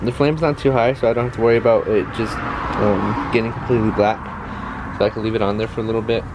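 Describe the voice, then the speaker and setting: A man talks at a very fast pace and medium pitch. Noticeable background noise runs behind him. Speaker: outdoor cooking vlogger. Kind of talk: casual cooking tutorial. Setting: outdoors at a backyard grill. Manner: halting, many fillers and repeats.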